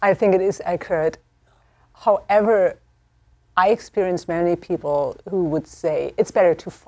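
Speaking in a German accent at a moderate pace, a woman with a medium pitch and a dark, mellow tone uses ordinary pitch variation, long, frequent pauses and big swings in loudness. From Germany. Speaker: theology professor. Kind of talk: panel discussion.

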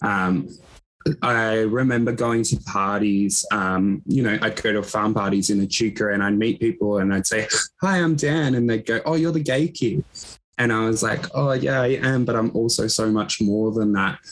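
A man with an Australian accent talks at a moderate pace. His pitch is medium and varies in an ordinary way. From Echuca, Victoria, Australia. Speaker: LGBTQ organisation worker. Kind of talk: casual interview chat. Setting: video call, working remotely.

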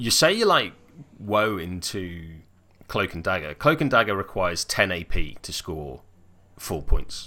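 Very clean and silent in the background, this recording has a man with a British accent speaking fairly slowly at a very deep, low pitch. His tone is bright and sharp, his intonation lively, and his loudness swings widely. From Wales. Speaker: tabletop gaming podcaster. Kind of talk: casual chat.

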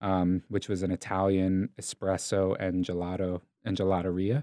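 Speaking at a moderate pace, a man is heard on a very clean recording with a silent background. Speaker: coffee shop owner. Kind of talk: casual interview chat.

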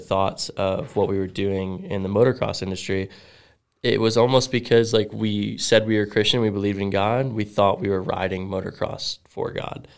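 A man with an American accent in a normal speaking voice, fairly low in pitch, at a moderate pace with fairly even intonation, recorded very cleanly against a silent background. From South Florida. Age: 20s. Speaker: professional BMX rider. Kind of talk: testimony.

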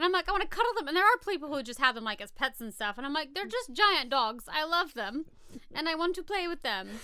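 A woman with an American accent speaks in a raised, projected voice at a very fast pace. Her high pitch takes very wide swings, with a bright, sharp tone. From rural US. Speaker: podcast co-host. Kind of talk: reading research notes; casual chat.

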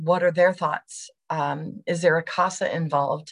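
A woman speaks at a moderate pace in a fairly low, somewhat breathy voice. Her intonation stays fairly even. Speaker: education services director presenter. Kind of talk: webinar presentation with Q&A. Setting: online webinar.

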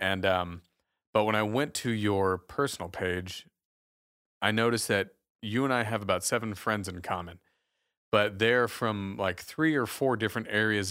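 A man with a plain, everyday voice speaks with a fairly low pitch and fairly even intonation in a very clean recording with a silent background. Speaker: radio show host. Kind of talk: casual interview chat. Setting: studio.

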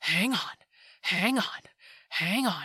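A raspy, put-on character voice that sounds female. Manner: begging.

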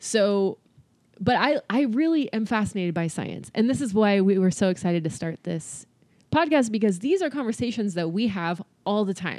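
Speaking in an American accent, a woman has an unremarkable speaking voice at medium pitch, a moderate pace, and lively intonation. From California. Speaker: podcast co-host. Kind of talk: casual chat.

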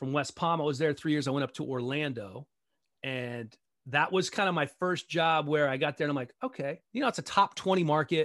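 Using an ordinary speaking voice, a man with an American accent talks at a fairly quick pace and fairly high pitch, the sound dry and close with no echo over a quiet background. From Maryland, DC area (Montgomery County). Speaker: sports broadcaster. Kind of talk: casual interview chat.

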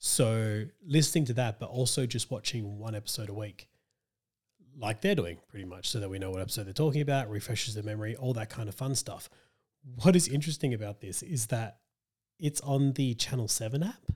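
Somewhat breathy, a man with an Australian accent talks at a fairly quick pace, at a medium pitch with ordinary pitch variation. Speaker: podcast host. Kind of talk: casual chat. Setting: video call from home.

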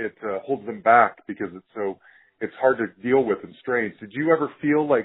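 With an ordinary speaking voice, a man talks at a fairly quick pace in a medium pitch with ordinary pitch variation. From Utah, US. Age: 40s. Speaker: podcast host. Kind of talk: interview.

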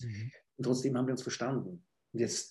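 A man talks very fast at a medium pitch, somewhat breathy, with a dark, mellow tone. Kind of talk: interview.

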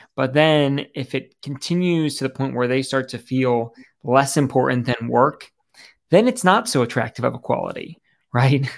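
A man's unremarkable speaking voice at medium pitch, moderate pace and ordinary pitch variation, on a very clean recording with a silent background. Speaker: entrepreneur and life coach. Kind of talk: casual conversation.

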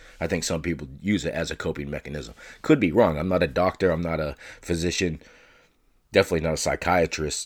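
In a very clean recording with a silent background, a man speaks at a very deep, low pitch with vocal fry. His pace is fairly quick and his pitch variation ordinary. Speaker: solo sports and chat podcast host. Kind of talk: casual monologue.

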